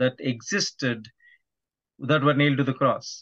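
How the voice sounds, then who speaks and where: At a moderate pace and medium pitch, a man speaks with fairly even intonation over a quiet background. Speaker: podcast guest, evangelist. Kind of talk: interview answer. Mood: calm, earnest. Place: home room. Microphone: video call.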